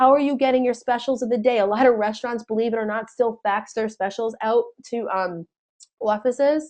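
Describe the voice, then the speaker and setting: A woman with an American accent speaks at a fairly quick pace and a fairly high pitch. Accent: New Jersey accent, strong after weekend visit. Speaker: sales trainer. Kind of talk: webinar training. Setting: webinar. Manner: animated.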